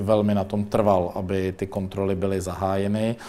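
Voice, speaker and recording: With a dark, mellow tone and fairly low pitch, a man talks at a moderate pace in a monotone, flat intonation. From Czech Republic, Mladá Boleslav. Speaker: deputy minister. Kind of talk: interview. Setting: studio. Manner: hesitant, with fillers.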